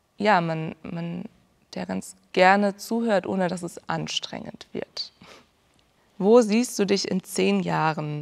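Speaking at a very slow pace, a woman leaves long, frequent pauses, and her loudness swings widely. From southern Germany, Ulm (Swabia). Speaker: music student, classical singer. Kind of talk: interview. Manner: hesitant, many fillers.

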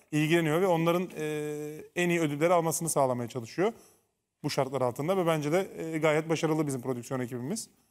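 Ordinary pitch variation marks the fairly high voice of a man with an unremarkable speaking voice. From Turkey. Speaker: former reality show contestant and TV commentator; TV commentator. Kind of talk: casual chat. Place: studio.

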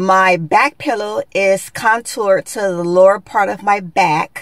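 Against a quiet background, a woman speaks very slowly with ordinary pitch variation, in a dry sound with no echo. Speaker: beauty vlogger. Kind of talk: tutorial. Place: car. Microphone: phone near.

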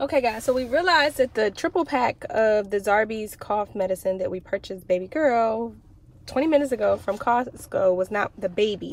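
With lively intonation, a woman speaks at a fairly quick pace in a dry sound with no echo. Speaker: parent vlogger. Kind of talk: casual vlog chat. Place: car. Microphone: phone near.

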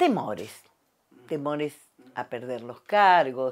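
The voice moves at a very slow pace but with lively intonation. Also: woman. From Argentina. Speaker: communication professor. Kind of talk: testimony interview. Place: home room. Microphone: lapel.

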